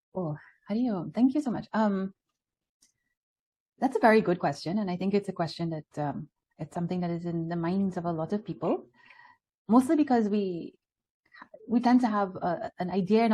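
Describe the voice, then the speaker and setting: Somewhat breathy and dark, mellow in tone, a woman with a Trinidadian accent speaks at a medium pitch and a moderate pace, with lively intonation and long, frequent pauses. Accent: Trinidad. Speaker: spiritual speaker. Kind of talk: spiritual talk with Q&A.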